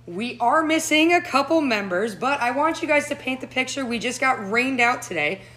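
Over noticeable background noise, a woman talks fairly quickly with hardly any pauses, her high-pitched voice carrying lively intonation. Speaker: professional golfer and podcast host. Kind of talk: casual chat. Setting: bar. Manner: animated.

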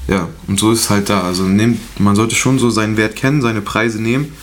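Noticeable background noise and audible room echo around very fast speech. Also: man. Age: 20s. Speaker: videographer and photographer. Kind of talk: casual chat.

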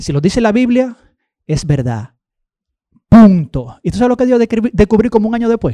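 A man's high, dark and mellow voice with very wide pitch swings, a moderate pace and long, frequent pauses, dry and close with no echo. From Dominican Republic, Baní. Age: 40s. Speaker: guest preacher. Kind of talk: sermon.

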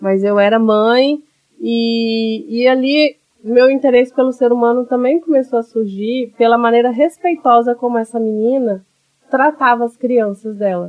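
Fairly even intonation in a woman's high voice. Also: fairly slow pace. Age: 30s. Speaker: psychoanalyst and teacher. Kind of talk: interview.

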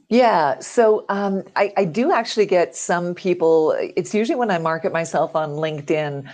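A plain, everyday voice in a Canadian accent, with ordinary pitch variation. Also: woman, medium pitch for a woman, moderate pace. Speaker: voiceover artist. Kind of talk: interview. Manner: clear, polished diction.

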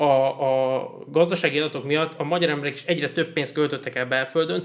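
At a fairly quick pace, a man talks in an ordinary speaking voice at a fairly high pitch. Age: 20s. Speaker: podcast host. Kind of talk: casual chat. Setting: studio.

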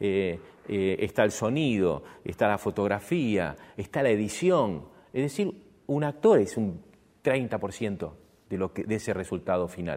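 A man's fairly low voice at a very slow pace, in a very clean recording with a silent background. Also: lively intonation. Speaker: stage and screen actor. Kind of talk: talk to an audience. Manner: halting.

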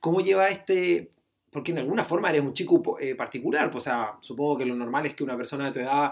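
A man's fairly high-pitched voice. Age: 30s. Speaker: podcast host. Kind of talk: casual interview. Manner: halting.

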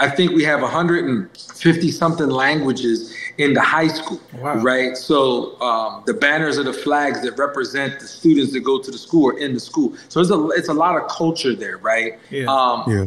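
A man talks in a fairly high voice with ordinary pitch variation and hardly any pauses. Noticeable background noise runs underneath. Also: moderate pace. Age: 40s. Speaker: barber school owner. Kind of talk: casual chat.

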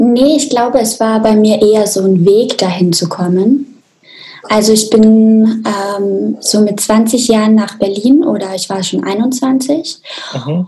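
At a very slow pace, a woman speaks with a fairly high pitch. Her pitch varies in an ordinary way. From Austria, small mountain village. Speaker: sex therapist. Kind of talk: interview conversation.

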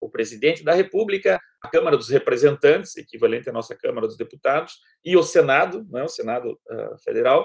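A man talks at a fairly quick pace. His loudness rises and falls in big swings. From Brazil, Paraná. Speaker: law professor and public prosecutor. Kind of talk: interview. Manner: halting, with frequent fillers.

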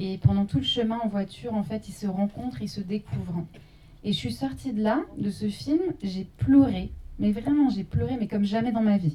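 A woman with a normal speaking voice, medium pitch and lively intonation at a moderate pace. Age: young. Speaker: journalist and documentary maker. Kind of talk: post-screening panel discussion.

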